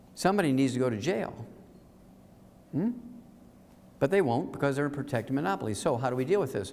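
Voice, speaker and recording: Lively intonation carries a very fast pace in an American accent, broken by long, frequent pauses and marked by audible room echo. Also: man, medium pitch for a man. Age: 70s. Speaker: health lecturer. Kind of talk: lecture. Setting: stage with audience. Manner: animated.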